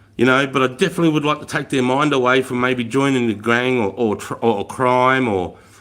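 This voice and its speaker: This man has an Australian accent. He talks at a fairly quick pace. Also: medium pitch for a man, ordinary pitch variation, hardly any pauses. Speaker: army veteran livestreamer. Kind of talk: casual live stream chat. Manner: loud; animated.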